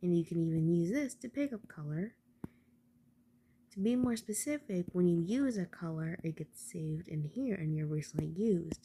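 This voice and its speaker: Soft-spoken and somewhat breathy, a woman talks in a dark, mellow tone. Her fairly low pitch swings very widely. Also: moderate pace. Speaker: tutorial maker. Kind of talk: tutorial.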